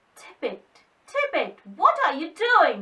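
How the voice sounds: A woman uses a put-on character voice at an extremely high pitch, raised and projected. She speaks at a fairly slow pace.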